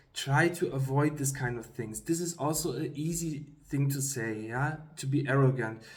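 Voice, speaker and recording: Somewhat breathy and fairly high-pitched, a man speaks at a moderate pace with ordinary pitch variation and hardly any pauses, in audible room echo. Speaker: YouTuber giving career advice. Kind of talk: casual talk to camera. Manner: halting, many fillers.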